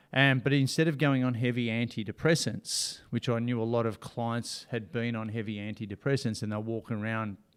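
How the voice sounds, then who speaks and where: On a very clean recording with a silent background, a man with an Australian accent speaks in fairly even intonation. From Australia, Ocean Grove near Melbourne. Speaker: motivational speaker and coach. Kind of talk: casual interview.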